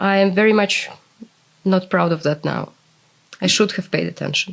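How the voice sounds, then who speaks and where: Speaking with a Russian accent, this voice moves at a moderate pace with fairly even intonation. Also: woman. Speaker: interviewee, former translator. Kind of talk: interview.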